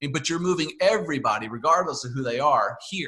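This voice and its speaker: A man with an American accent, a bright, sharp tone and lively intonation at a moderate pace. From US South, Northeast Georgia. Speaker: podcast host. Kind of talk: casual interview chat.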